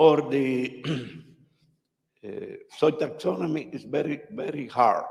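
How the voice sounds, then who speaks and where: A man with a Spanish accent speaks at a fairly high pitch. He takes long, frequent pauses. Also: ordinary pitch variation, fairly slow pace. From Cuba. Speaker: audience member, soil scientist. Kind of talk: conference question. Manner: halting.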